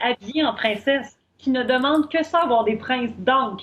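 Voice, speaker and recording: A woman with a Quebec accent speaks at a high pitch and a fairly slow pace. Her pitch varies in an ordinary way. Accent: Québécois French. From Quebec, Shawinigan. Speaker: business coach. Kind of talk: interview.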